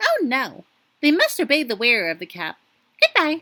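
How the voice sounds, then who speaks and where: A woman puts on a squeaky character voice at a high pitch. She speaks at a moderate pace. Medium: read story.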